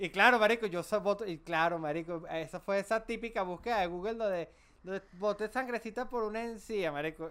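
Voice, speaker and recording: A man with a Venezuelan accent, high-pitched for a man, at a fairly quick pace, with ordinary pitch variation and big swings in loudness. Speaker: podcast co-host. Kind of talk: casual chat.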